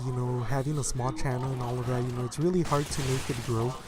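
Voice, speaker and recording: Speech rushes by at a very fast pace with fairly even intonation, over noticeable background noise and audible room echo. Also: man. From US-Mexico border city, Mexican-American. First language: Spanish. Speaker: gaming YouTuber. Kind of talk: casual vlog commentary. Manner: many fillers, halting.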